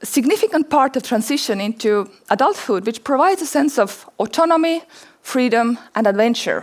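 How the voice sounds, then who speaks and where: With an Estonian accent, a woman speaks in a high pitch at a moderate pace, her pitch swinging very widely. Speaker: anthropologist and documentary filmmaker. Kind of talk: conference talk; audience Q&A answer. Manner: halting, repeats words.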